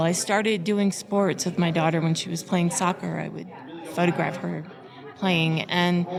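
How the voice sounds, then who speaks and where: Over crowd noise in the background, a woman with a fairly low pitch speaks with fairly even intonation. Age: 60s. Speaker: photographer, conference attendee. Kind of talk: casual interview.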